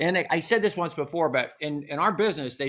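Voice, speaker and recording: An American-accented man with a bright, sharp tone and lively intonation, on a very clean recording with a silent background. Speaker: TV meteorologist. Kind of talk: casual talk to camera. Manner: casual, rambling.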